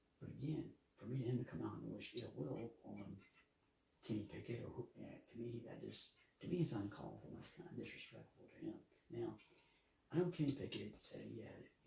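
A man with an American accent, at a fairly quick pace with long, frequent pauses and big swings in loudness. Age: 50s. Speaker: sports podcast host. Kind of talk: solo podcast commentary. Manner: halting, many fillers and repetitions.

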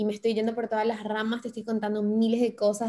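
A woman talks fairly quickly, her fairly high pitch paired with a dark, mellow tone. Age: 20s. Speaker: radio and TV presenter, influencer. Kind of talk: interview conversation.

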